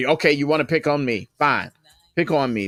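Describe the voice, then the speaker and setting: On a very clean, dry recording, close with no echo and a silent background, a man speaks at a moderate pace and a fairly high pitch. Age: 60s. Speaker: livestream host and radio station owner. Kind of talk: casual live stream monologue. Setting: live stream with background music.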